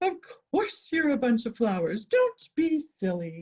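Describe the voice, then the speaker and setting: Putting on a character voice, a woman speaks at a fairly slow pace, pitched high with very wide pitch swings. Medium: read story. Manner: loud, bossy.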